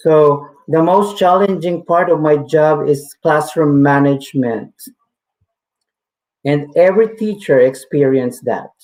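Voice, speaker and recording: With a slight Filipino accent, a man speaks at a fairly slow pace in a fairly high pitch, keeping his loudness very even. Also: ordinary pitch variation. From Philippines. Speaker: teacher. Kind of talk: webinar talk. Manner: halting.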